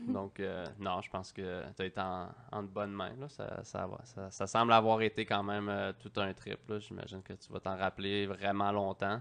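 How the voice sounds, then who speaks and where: In a Quebec accent, a man talks at a moderate pace with hardly any pauses, using a fairly low pitch and monotone, flat intonation over a quiet background. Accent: Québécois French. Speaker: podcast host. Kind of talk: casual interview. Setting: studio.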